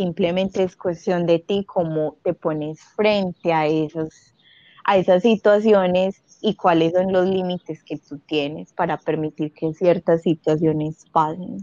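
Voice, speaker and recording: An ordinary speaking voice, this woman's sits at a fairly low pitch, with fairly even intonation and a fairly slow pace. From Colombia, Medellín. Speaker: former au pair. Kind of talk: casual interview. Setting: call.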